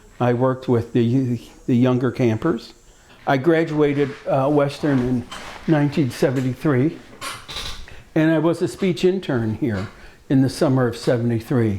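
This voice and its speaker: A man with a Midwestern American accent at a moderate pace. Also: medium pitch for a man, ordinary pitch variation. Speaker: speech pathologist, former camper. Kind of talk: personal reminiscence. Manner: halting, many fillers and repetitions.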